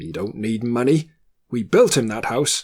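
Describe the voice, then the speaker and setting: Growling, a man puts on a character voice. He keeps a medium pitch and a moderate pace. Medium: read story. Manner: scoffing, dismissive.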